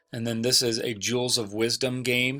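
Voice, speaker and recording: Monotone, flat intonation at a moderate pace, with music in the background. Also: man. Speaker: Spanish teacher. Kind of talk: tutorial.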